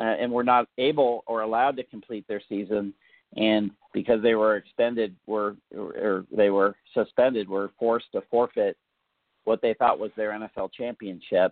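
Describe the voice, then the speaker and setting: A man's flat, monotone intonation at a moderate pace. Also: medium pitch for a man. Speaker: football memorabilia collector and writer. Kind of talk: casual interview chat.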